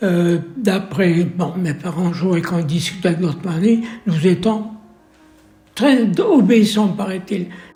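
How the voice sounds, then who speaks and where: A man's high-pitched voice at a very slow pace, with ordinary pitch variation, noticeable background noise and audible room echo. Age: 80s+. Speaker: nursing home resident. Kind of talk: testimony. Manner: halting.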